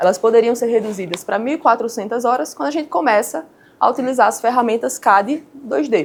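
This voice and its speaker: A woman with a Paraíba accent speaks at a fairly high pitch. Her pace is fairly quick and her intonation lively. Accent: Paraíba (northeastern Brazilian). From Paraíba, Brazilian Northeast. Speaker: structural engineer. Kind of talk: lecture.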